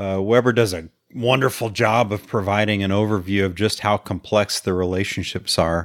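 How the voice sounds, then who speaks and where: A man with a plain, everyday voice speaks at a moderate pace in a fairly low pitch. The recording is very clean with a silent background, and the sound is dry and close with no echo. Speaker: podcast co-host. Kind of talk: casual podcast discussion of a novel.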